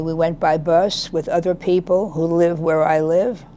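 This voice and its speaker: A woman talks fairly slowly in a fairly low, flat monotone. Noticeable background noise runs underneath. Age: 80s+. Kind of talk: interview answer. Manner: quiet, reflective.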